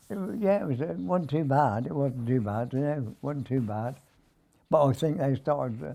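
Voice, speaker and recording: At a moderate pace, a dark, mellow voice with a southern English accent rises and falls in lively intonation. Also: man, medium pitch for a man. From Wargrave, Berkshire, England. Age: 80s+. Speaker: war veteran. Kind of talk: interview answer. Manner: hesitant.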